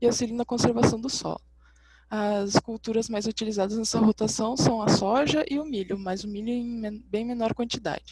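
The speech moves at a moderate pace with fairly even intonation. The sound is dry with no echo, with light background noise. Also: woman. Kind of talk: academic presentation. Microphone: webcam.

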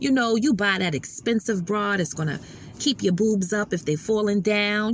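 A woman speaks at a moderate pace with ordinary pitch variation, the sound dry with no echo and light background noise behind her. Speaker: inspirational vlogger. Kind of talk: sermon-like casual vlog talk. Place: car. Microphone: phone near.

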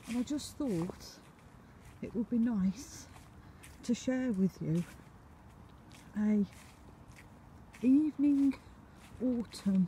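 A woman speaking very slowly with long, frequent pauses, the sound dry with no echo and light background noise. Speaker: vlogger. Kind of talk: casual vlog chat. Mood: calm, reflective. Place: street. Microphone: phone near.

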